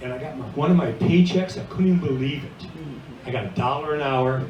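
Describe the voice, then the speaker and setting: A man's lively intonation with an American accent, amid noticeable background noise and audible room echo. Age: 70s. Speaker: retiring bartender. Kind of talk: retirement party speech. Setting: restaurant party.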